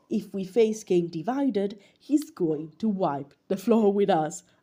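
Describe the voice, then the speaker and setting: A woman's somewhat breathy, dark, mellow voice with very wide pitch swings. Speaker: listener voice message. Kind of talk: recorded voice message.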